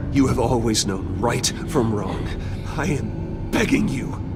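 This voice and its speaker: A man performs a cartoonish character voice at a fairly slow pace. Loud background noise is present. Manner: measured, earnest.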